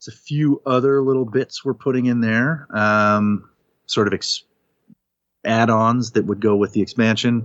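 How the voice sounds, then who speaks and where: A man's normal speaking voice, a normal speaking voice at medium pitch, fairly slow and fairly even in intonation, with a dry, close sound and no echo. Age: 40s. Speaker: podcast host, guest on the show. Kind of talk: casual chat.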